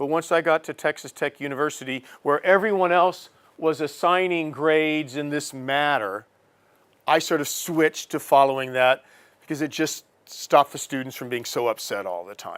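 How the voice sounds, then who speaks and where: A man with an American accent speaks in a normal speaking voice at a moderate pace, fairly high in pitch with ordinary pitch variation and big swings in loudness. The very clean recording has a dry, close sound with no echo and a silent background. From USA. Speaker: professor. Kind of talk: lecture.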